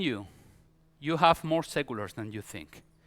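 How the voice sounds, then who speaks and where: Speaking at a moderate pace with a Spanish accent, a man uses very wide pitch swings and a bright, sharp tone on a very clean recording with a silent background. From Spain. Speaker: pastor. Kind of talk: sermon. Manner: halting.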